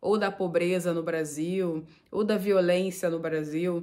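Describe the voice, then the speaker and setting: Very slow woman's speech at a fairly low pitch, with fairly even intonation. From Brazil, Nova Iguaçu (Rio de Janeiro state). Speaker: vlogger. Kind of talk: casual vlog talk to camera.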